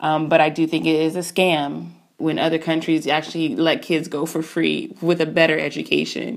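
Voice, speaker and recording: A woman with a very deep, low pitch and vocal fry speaks at a moderate pace in a monotone, flat intonation, with hardly any pauses. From Southern California. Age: 30s. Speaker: caller sharing personal story. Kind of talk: personal testimony. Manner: casual, with filler words.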